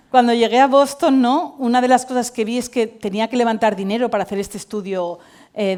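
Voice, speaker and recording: Her voice is an unremarkable speaking voice, fairly high for a woman, with lively intonation. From Spain, Valencia. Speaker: tech company CEO and cofounder. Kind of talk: conference talk.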